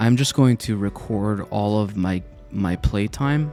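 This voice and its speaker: Soft-spoken, a man with a fairly low pitch speaks with lively intonation over music in the background. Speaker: Minecraft let's play content creator. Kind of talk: casual talk to camera, gameplay commentary. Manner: soft-spoken, relaxed, unhurried.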